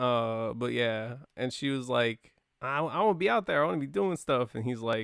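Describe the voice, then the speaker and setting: His pitch sits in the middle range and varies in an ordinary way. The man's pace is moderate. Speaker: podcast host. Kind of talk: casual banter. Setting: studio.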